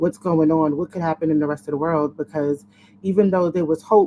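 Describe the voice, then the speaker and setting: A woman speaks with fairly even intonation. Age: 30s. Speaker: lifelong HIV survivor, panelist. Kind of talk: panel discussion on webinar.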